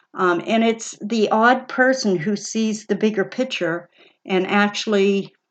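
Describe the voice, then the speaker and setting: A woman's medium-pitched voice comes through over a quiet background. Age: 60s. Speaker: personal finance video host, former bank worker. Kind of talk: casual commentary on a book. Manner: halting, with many fillers and repeats.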